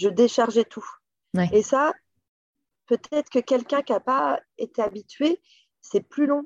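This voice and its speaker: A woman with a high pitch and lively intonation speaks fairly slowly with long, frequent pauses, in a dry, close sound with no echo. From western France, Loire region. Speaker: company director. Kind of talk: interview. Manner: hesitant, many fillers.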